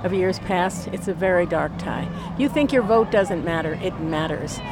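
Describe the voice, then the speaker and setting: A woman talks at a fairly low pitch with ordinary pitch variation. Crowd noise fills the background. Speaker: protester. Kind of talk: street interview. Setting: outdoors at a street protest.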